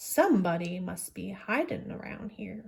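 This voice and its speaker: A woman growls in a put-on character voice. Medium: read story.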